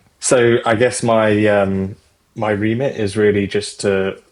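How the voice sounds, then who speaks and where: Someone with a British accent speaks at a fairly slow pace with monotone, flat intonation. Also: man. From Britain. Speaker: fintech executive. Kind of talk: interview. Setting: podcast.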